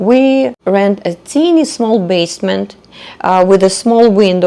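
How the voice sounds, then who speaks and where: A woman speaks with a Russian accent at a medium pitch. Her intonation is lively. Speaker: podcaster. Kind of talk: personal storytelling monologue. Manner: hesitant, with fillers.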